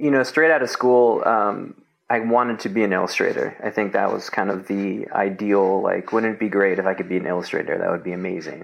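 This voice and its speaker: A man speaks at a fairly quick pace with ordinary pitch variation and hardly any pauses. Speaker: designer and illustrator. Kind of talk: casual interview chat. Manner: casual, filler-heavy.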